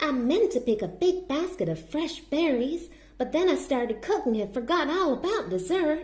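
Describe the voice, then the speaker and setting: A woman puts on a high-pitched character voice. She keeps a moderate pace over light background noise. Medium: read story.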